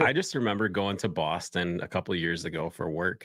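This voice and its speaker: With a bright, sharp tone and a very deep, low pitch, a man with a Midwestern accent speaks at a moderate pace with fairly even intonation on a very clean recording with a silent background. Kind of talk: casual chat.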